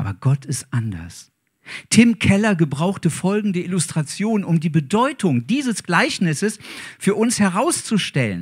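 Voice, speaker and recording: A man with a high pitch and very wide pitch swings, at a fairly slow pace over a quiet background. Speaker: preacher. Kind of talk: sermon. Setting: church. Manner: warm, earnest, preaching. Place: church. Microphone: handheld.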